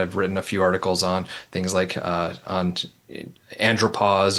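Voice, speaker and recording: With a slight Minnesota accent, a man speaks in a very deep, low pitch with a bright, sharp tone and monotone, flat intonation. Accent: slight Midwestern (Minnesota). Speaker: nurse practitioner, researcher. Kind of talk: interview conversation. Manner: hesitant, many fillers.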